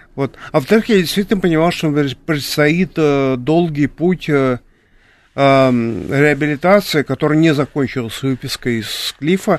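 Against a quiet background, a man speaks at a fairly slow pace, his fairly high pitch showing ordinary variation. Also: dry, close sound with no echo. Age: 60s. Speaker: artist and drawing teacher. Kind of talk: interview. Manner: halting.

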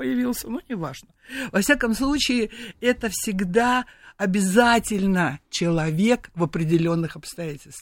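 A woman's medium-pitched voice at a moderate pace with very wide pitch swings, on a very clean recording with a silent background. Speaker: perfumer. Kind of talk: radio interview. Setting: studio. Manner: animated.

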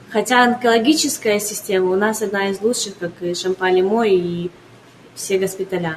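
Noticeable background noise sits behind a woman's medium-pitched voice. She talks at a moderate pace with ordinary pitch variation. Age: 20s. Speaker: entrepreneur. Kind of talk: radio interview.

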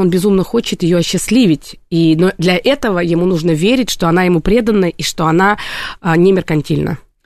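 Talking at a fairly quick pace, a woman uses a normal speaking voice with a medium pitch. Her pitch varies in an ordinary way over a quiet background. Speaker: psychologist. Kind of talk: radio talk show interview. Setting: radio studio.

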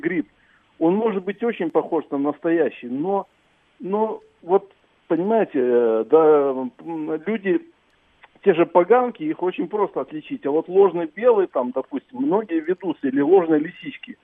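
A man with a high voice talks fairly slowly, his intonation lively. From Belarus. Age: 60s. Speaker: radio caller, mushroom picker. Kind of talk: phone-in chat.

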